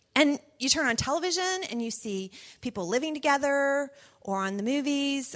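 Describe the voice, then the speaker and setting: A woman with lively intonation over a quiet background. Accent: Southern US. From US South. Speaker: pastor's wife and mother. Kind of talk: personal talk to parents.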